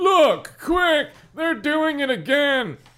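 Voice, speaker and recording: This is a put-on character voice pitched high. It sounds strained. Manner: strained, as if pushing.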